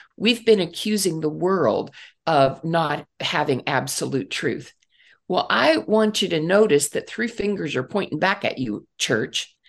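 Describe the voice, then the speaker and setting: Woman with vocal fry, a fairly low pitch and very wide pitch swings at a fairly slow pace, on a very clean recording with a silent background. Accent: American. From US Midwest, Northeast Ohio. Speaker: preacher and church leader. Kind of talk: interview.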